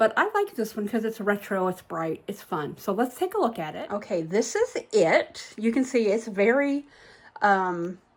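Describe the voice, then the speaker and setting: Speaking at a moderate pace, a woman with an unremarkable speaking voice uses lively intonation at a fairly high pitch. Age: 60s. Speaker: vlogger. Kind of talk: casual vlog talk. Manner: casual, chatty.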